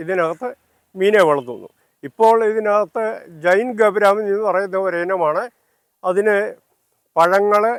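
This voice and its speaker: A man speaks at a high pitch with ordinary pitch variation. The sound is dry and close, with no echo. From Kerala, Pathanamthitta. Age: 80s+. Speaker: retired railway employee and home gardener. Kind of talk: garden tour explanation. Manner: halting.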